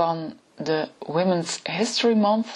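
Noticeable background noise runs under the woman's very slow speech. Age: 40s. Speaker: podcast host, personal historian. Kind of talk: solo podcast talk. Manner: hesitant, many filler sounds.

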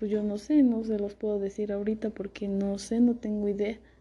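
Somewhat breathy woman's voice, fairly high in pitch with a dark, mellow tone, at a moderate pace. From central Mexico. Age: 20s. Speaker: law student. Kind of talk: recorded self-presentation for class. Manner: halting, with fillers and repetitions.

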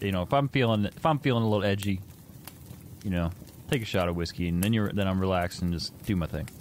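Speaking very fast, a man uses a fairly low pitch and ordinary pitch variation. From Indiana, US Midwest. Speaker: gaming podcast co-host. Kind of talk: casual chat. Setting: live stream with chat.

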